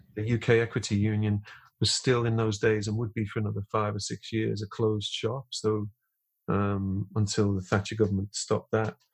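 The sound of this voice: Spoken at a moderate pace, the voice has a slightly husky edge and a monotone, flat intonation. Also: man, fairly low pitch for a man.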